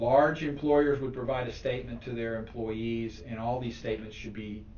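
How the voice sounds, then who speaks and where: A man's fairly low voice at a fairly quick pace, with noticeable background noise and audible room echo. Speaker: tax specialist giving a talk. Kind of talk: presentation to a club. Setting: meeting room, also streamed online. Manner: fast.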